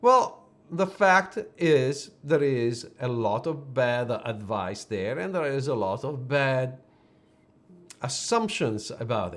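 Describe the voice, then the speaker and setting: A man with an Italian accent speaks at a medium pitch. His delivery is very slow, with lively intonation. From Italy. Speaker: personal branding photographer. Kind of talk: live stream business talk. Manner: hesitant, with fillers and restarts.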